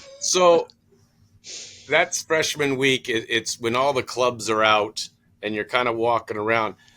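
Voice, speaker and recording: Pausing long and often, a man with an American accent speaks at a fairly slow pace in a bright, sharp tone, at a medium pitch with ordinary pitch variation. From California. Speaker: podcast host. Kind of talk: casual interview.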